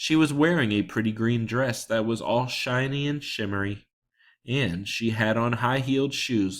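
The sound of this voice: An unforced reading voice comes with ordinary pitch variation. The background is quiet.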